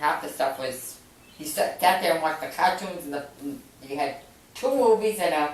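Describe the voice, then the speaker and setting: With a Boston accent, a woman speaks at a moderate pace in a very deep, low pitch, with lively intonation and long, frequent pauses. Audible room echo and noticeable background noise fill the recording. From Massachusetts, Medford near Boston. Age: 70s. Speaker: grandmother interviewed about her youth. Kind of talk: family interview.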